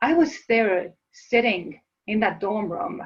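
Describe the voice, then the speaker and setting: This woman speaks in an Estonian accent. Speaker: motivational speaker. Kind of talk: webinar presentation. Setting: live online webinar.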